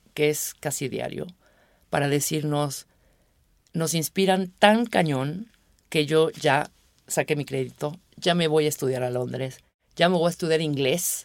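A woman with a very deep, low pitch and a Mexico City accent speaks at a fairly slow pace, with ordinary pitch variation and long, frequent pauses. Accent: Mexican Spanish (Mexico City). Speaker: radio producer. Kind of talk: casual interview.

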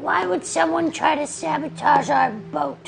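Delivered at a moderate pace, the put-on character voice sits over clear background noise. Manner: evasive, flustered.

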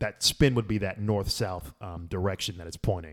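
A man with an ordinary speaking voice talks at a moderate pace and a fairly low pitch. His intonation is fairly even, and the recording is very clean with a silent background. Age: 30s. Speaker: former physics graduate student. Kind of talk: casual chat.

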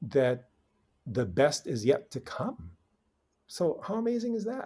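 In an American accent, a man speaks at a very slow pace with a dark, mellow tone, a somewhat breathy quality, and very wide pitch swings. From Philippines, then California from age 10. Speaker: nonprofit founder and communications CEO. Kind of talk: interview. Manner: halting, with frequent repeats and fillers.

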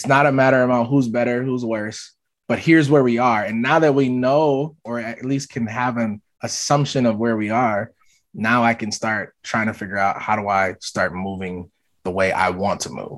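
At a moderate pace and medium pitch, a man with an American accent speaks in an unremarkable speaking voice with ordinary pitch variation against a quiet background. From US Midwest (Minneapolis), Southern parents. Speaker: diversity consultant, executive coach, speaker. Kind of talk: podcast interview.

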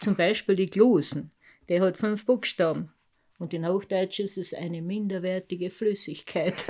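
A woman's medium-pitched voice with a dark, mellow tone, fairly even intonation and a fairly slow pace, on a very clean recording with a silent background. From Carinthia, Lavant valley. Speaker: mountain farmer and dialect poet. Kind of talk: casual interview.

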